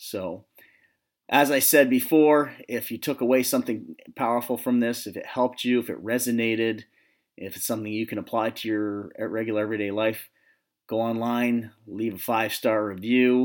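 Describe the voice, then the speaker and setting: Over a silent background in a very clean recording, the voice keeps fairly even intonation at a moderate pace. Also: man, medium pitch for a man. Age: 40s. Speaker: psychologist and podcast host. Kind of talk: solo motivational talk.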